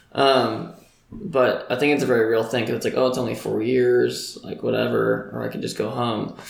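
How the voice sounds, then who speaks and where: A man speaks with an American accent at a moderate pace. There is noticeable background noise. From Greenville, South Carolina. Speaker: college student. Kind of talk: casual chat.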